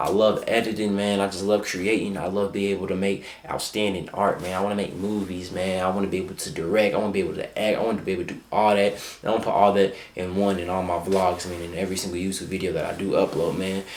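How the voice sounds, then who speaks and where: A man talks at a very fast pace with monotone, flat intonation. Audible room echo and noticeable background noise sit behind him. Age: young. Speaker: vlogger and content creator. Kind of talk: casual vlog talk to camera. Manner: halting, stuttering at times.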